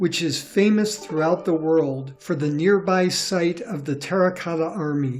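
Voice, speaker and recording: Over music in the background, a man with a high pitch speaks at a fairly slow pace with ordinary pitch variation. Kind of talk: educational documentary narration. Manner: clear, measured.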